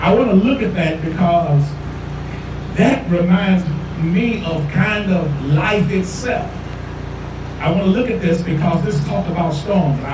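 With noticeable background noise and audible room echo, a man with a high pitch talks at a fairly slow pace, leaving long, frequent pauses. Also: ordinary pitch variation. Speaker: pastor. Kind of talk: sermon. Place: street.

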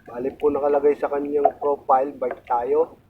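A man speaks at a fairly high pitch with ordinary pitch variation. There is noticeable background noise. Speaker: fisherman vlogger. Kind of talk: casual vlog narration. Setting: outdoors at sea on a boat.

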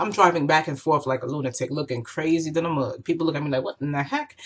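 Her pitch very deep and low, a woman talks at a very fast pace. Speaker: vlogger. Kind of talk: casual vlog chat. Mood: emotional, storytelling with laughs. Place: home room. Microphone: webcam.

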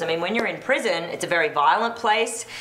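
Heard with audible room echo, a woman with a fairly low pitch speaks at a fairly quick pace and uses ordinary pitch variation. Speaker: talk show host. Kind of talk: panel discussion. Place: studio.

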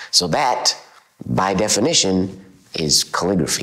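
Very deep, low pitch from a man with ordinary pitch variation and a quiet background. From central Alberta, Canada. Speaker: calligrapher; interviewee. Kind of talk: interview; interview answer. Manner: casual, with fillers. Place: home room. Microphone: lapel.

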